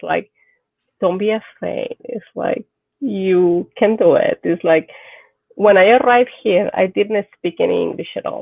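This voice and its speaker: A woman speaks with a Mexican accent. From Mexico. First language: Spanish. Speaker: doctor and movie translator. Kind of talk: casual chat.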